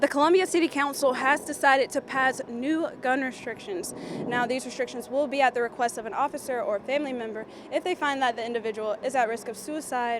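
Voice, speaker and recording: Over noticeable background noise, a woman talks at a fairly quick pace with a high pitch and ordinary pitch variation. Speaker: TV news anchor and reporter. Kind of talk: broadcast news reporting.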